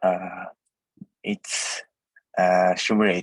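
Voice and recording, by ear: A man's low-pitched voice with a slightly husky edge, dry and close with no echo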